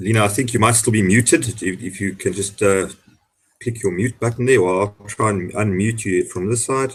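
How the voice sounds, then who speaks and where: A man's somewhat breathy, fairly low-pitched voice at a moderate pace. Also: ordinary pitch variation. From South Africa. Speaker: hangout host, salesperson. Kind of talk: casual panel discussion. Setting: video call.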